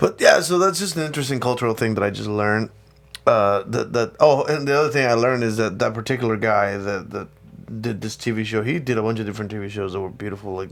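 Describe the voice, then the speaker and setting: A man with a slight Spanish accent talks at a fairly quick pace, his pitch varying in an ordinary way. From Mexico. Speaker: podcast co-host. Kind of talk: casual chat.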